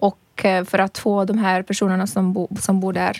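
A woman with a non-native accent at a moderate pace, dry and close with no echo. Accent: foreign accent in Swedish. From Libya. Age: 30s. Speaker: reporter. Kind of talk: casual chat. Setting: studio.

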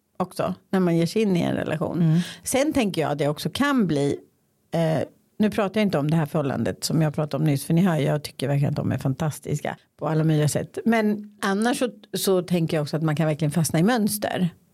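At a very fast pace, a woman with a fairly low pitch and a dark, mellow tone speaks at very even loudness. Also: lively intonation. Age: 50s. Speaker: podcast host. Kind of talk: casual chat.

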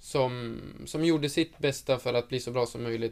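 A man's medium-pitched voice at a fairly slow pace. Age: 20s. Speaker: professional footballer. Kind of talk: interview.

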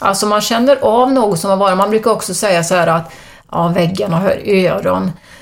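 Over noticeable background noise, a woman speaks fairly quickly at a medium pitch, with very even loudness and ordinary pitch variation. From Sweden, Arentorp (Västergötland). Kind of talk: interview about spiritual experiences.

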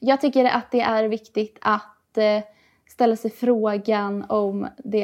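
At a fairly slow pace, a woman with a fairly high pitch speaks in a monotone, flat intonation. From Gothenburg, Sweden (Hisingen). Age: 20s. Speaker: youth party spokesperson. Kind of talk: political interview.

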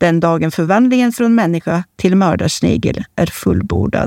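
A woman's plain, everyday voice at medium pitch, lively in intonation and moderate in pace, with a dry, close sound with no echo on a very clean recording with a silent background. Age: 40s. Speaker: columnist. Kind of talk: reading aloud of own columns.

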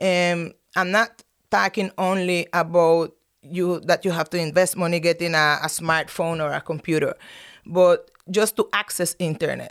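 A woman with a Spanish accent speaks at a moderate pace and fairly low pitch, her intonation fairly even, on a very clean recording with a silent background. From Nicaragua. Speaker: professor. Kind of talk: interview. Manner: halting.

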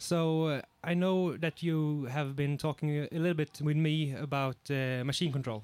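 Fairly high-pitched male voice with a Swedish accent, moderate pace, very even loudness and fairly even intonation. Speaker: podcast host and excavator operator. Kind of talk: casual podcast chat. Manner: hesitant, filler-heavy.

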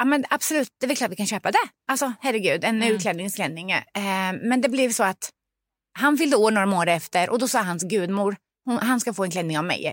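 A woman with a fairly high pitch and an animated tone, lively intonation at a moderate pace, in a very clean, dry and close recording with no echo over a silent background. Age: 40s. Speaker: parent. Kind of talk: casual chat.

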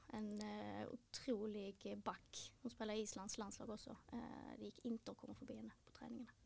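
Her loudness swings widely as a woman speaks at a moderate pace. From Helsingborg, Skåne, Sweden. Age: 20s. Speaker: retired footballer. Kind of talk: interview.

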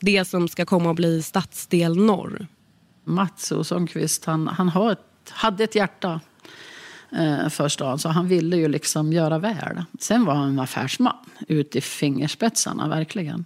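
Speaking at a fairly slow pace, a woman with a fairly low pitch and ordinary pitch variation has a plain, everyday voice. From Jämtland, Sweden. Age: 60s. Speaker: local politician. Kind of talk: interview. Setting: kitchen table in an apartment.

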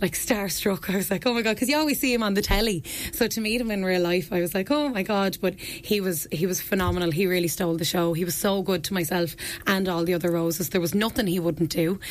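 A woman with a southeastern Irish accent talks very fast at a medium pitch with lively intonation. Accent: southeast Irish. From Ireland, County Wexford (Ferns). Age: 20s. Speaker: beauty pageant contestant and personal trainer. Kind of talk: radio interview. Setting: radio studio.

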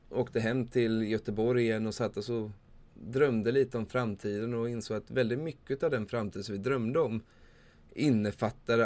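At a medium pitch and moderate pace, a man talks in an unremarkable speaking voice. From Sweden, Småland (Vimmerby). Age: 30s. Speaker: podcast host, campsite owner. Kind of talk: solo podcast monologue.

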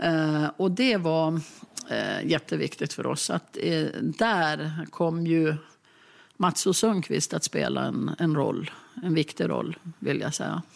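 Recorded very cleanly against a silent background, a woman talks at a very slow pace. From Jämtland, Sweden. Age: 60s. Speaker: local politician. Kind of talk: documentary interview. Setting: kitchen table in an apartment.

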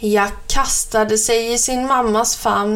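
Someone is reading aloud in a natural voice with fairly even intonation.

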